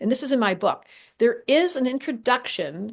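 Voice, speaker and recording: Animated in tone, a woman speaks at a moderate pace with lively intonation. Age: 60s. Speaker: astrologer. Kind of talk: casual chat.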